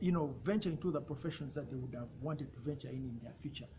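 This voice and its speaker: A man talks with lively intonation, a fairly high pitch and vocal fry. Audible room echo surrounds his voice. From Uganda. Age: 20s. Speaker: youth health rights advocate. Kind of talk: personal testimony and advocacy talk. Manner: some repetitions and self-corrections.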